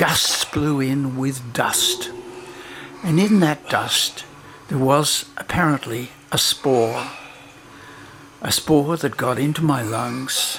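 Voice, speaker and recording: Against noticeable background noise, a man with a fairly high pitch and ordinary pitch variation speaks at a very slow pace with long, frequent pauses. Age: 80s+. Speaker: documentary filmmaker. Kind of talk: personal narration over breathing exercise.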